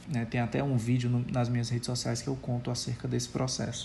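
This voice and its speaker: A man's somewhat breathy voice has a dark, mellow tone at a medium pitch. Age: 30s. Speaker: pastor. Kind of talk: recorded testimony.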